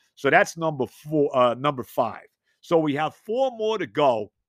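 A man speaks in a New York accent with lively intonation. The background is quiet. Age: 60s. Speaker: sports podcast host. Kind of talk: solo sports talk monologue. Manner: animated.

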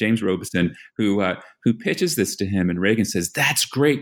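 On a very clean recording with a silent background, the speaker uses an American accent, lively intonation and a moderate pace. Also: man. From US Northeast, New York. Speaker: political scientist. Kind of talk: academic interview. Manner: halting, many um fillers.

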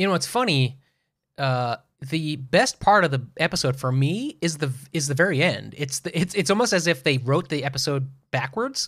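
A man speaks in a normal speaking voice, fairly high in pitch, with lively intonation. His pace is moderate, and the recording is very clean with a silent background. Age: 40s. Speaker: podcast co-host. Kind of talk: casual chat.

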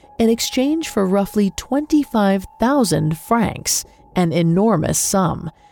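A woman speaks at a medium pitch with lively intonation. The sound is dry and close with no echo, but noticeable background noise is present. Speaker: podcast host. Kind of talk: true-crime narration. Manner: grave, measured, dramatic.

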